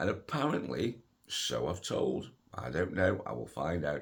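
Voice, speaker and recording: A man's voice swings very widely in pitch and carries vocal fry. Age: 60s. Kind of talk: casual talk to camera. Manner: hesitant, conversational.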